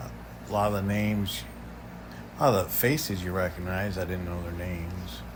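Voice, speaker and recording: A man speaks with a very deep, low pitch and vocal fry, and the room echo is audible. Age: 60s. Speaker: travel vlogger. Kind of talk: casual vlog narration. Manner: halting, many fillers.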